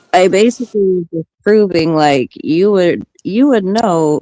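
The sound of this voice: A soft-spoken woman's voice, low in pitch with a dark, mellow tone, at a fairly slow pace, dry and close with no echo.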